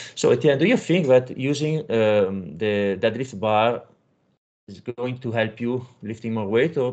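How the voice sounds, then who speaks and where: With an Italian accent, a man speaks at a fairly slow pace and medium pitch, showing ordinary pitch variation and big swings in loudness against a quiet background. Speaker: powerlifting coach and podcast host. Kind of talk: interview; narrated summary to audience.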